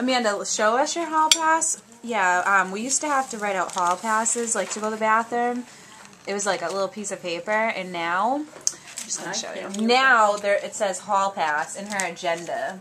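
A woman at a moderate pace with lively intonation, over noticeable background noise. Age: 20s. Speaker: vlogger. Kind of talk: casual vlog talk to camera. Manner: animated. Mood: cheerful, nostalgic.

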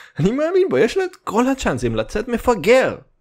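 In an animated tone and a Russian accent, a man speaks at a moderate pace with very wide pitch swings. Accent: Russian accent in Hebrew. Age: 20s. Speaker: comedy podcaster. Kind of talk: comedic monologue.

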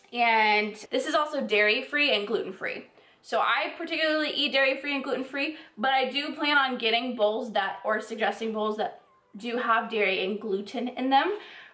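Moderate pace with audible room echo. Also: woman, high pitch for a woman. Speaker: fitness vlogger. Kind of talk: casual vlog chat. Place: home room. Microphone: phone near.

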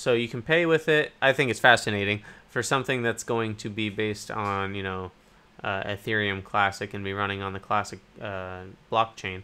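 A man speaks at a moderate pace. His pitch sits fairly low. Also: ordinary pitch variation. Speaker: cryptocurrency YouTuber. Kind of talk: casual news commentary. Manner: hesitant, many fillers. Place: home room.

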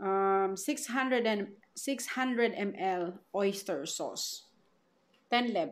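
Speaking at a very slow pace with a Filipino accent, a woman uses lively intonation. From Philippines. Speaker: vlogger. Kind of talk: product haul vlog. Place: home room. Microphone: phone near.

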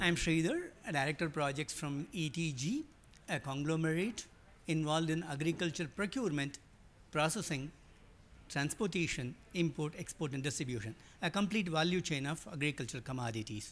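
With a plain, everyday voice, a man speaks at a moderate pace and a fairly high pitch, with ordinary pitch variation. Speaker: agribusiness projects director. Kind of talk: panel presentation. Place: hall.

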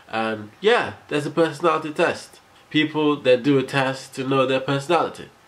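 At a moderate speed, a man speaks with normal rises and falls in pitch. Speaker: vlogger. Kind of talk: casual vlog chat. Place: home room. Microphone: phone near.

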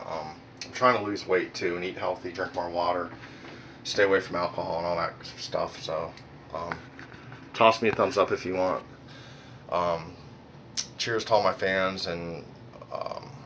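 Very deep, low male voice at a moderate pace, with fairly even intonation, long, frequent pauses and light background noise. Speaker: vlogger. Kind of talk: casual vlog chat. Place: home room. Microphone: phone near.

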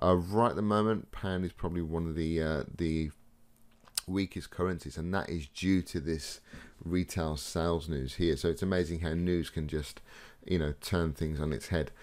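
A man's very deep, low voice with fairly even intonation and a moderate pace. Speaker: trading educator. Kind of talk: tutorial.

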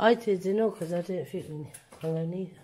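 A woman speaks at a fairly quick pace with fairly even intonation, somewhat breathy and with a dark, mellow tone. Light background noise is present. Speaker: urban explorer vlogger. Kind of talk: casual vlog commentary. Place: empty room. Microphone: phone near.

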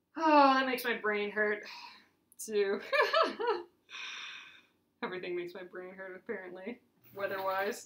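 Amid audible room echo, a woman speaks at a slow pace with long, frequent pauses, her medium-pitched, fairly bright voice showing ordinary pitch variation.

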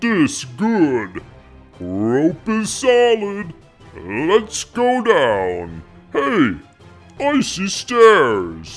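A man in a put-on character voice with fairly high pitch speaks at a very slow pace, leaving long, frequent pauses over faint background music.

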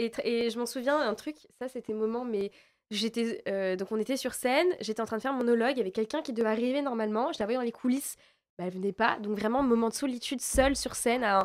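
The speaker goes at a very fast pace with ordinary pitch variation against a quiet background. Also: woman. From France. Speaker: actress. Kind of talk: interview. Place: studio. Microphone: studio mic.

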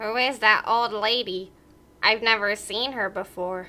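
A put-on character voice sounds female. It sits at a fairly high pitch. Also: moderate pace. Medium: read story. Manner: curious, cheerful.

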